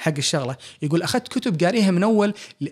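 Spoken with a Kuwaiti accent at a fairly quick pace, the lively intonation comes through on a very clean recording with a silent background. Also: man. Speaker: physician and author. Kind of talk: interview conversation.

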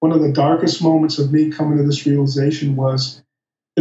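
In a Midwestern American accent, a man talks very fast in a somewhat breathy, fairly high voice, his tone dark and mellow and his intonation monotone and flat. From US Midwest, Michigan. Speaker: plant-based diet advocate. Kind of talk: interview.

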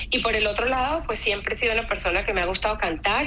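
A woman's bright, sharp tone with vocal fry and audible room echo. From Venezuela (Mérida). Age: 40s. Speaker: volunteer event organizer. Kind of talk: radio interview. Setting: radio studio.

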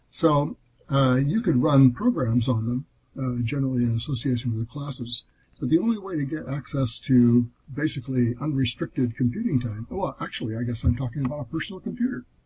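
The voice is somewhat breathy with a dark, mellow tone, moving at a fairly quick pace with ordinary pitch variation. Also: man, medium pitch for a man. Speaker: Apple II hardware designer guest. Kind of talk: casual interview.

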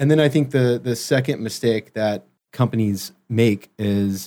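In an American accent, a man talks in a normal speaking voice at a medium pitch with ordinary pitch variation. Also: very clean recording, silent background. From US South, Memphis. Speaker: brand strategy consultant. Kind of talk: interview.

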